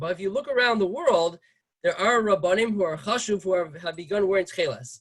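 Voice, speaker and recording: A man talking at a very fast pace. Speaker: rabbi giving a class. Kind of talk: lecture. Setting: video call.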